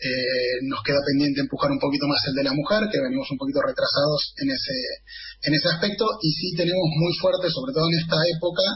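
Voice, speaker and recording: A man with a high voice talks fairly quickly in an Argentine accent, his intonation lively. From Argentina, northern Greater Buenos Aires. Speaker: football supporters' club representative. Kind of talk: radio interview. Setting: video call.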